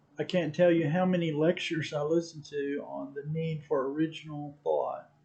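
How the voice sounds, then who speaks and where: With an American accent, a man speaks in a flat monotone at a moderate pace. His pitch is fairly high, and noticeable background noise is present. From Texas. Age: 60s. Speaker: amateur photographer. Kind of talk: casual vlog monologue. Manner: halting, many fillers.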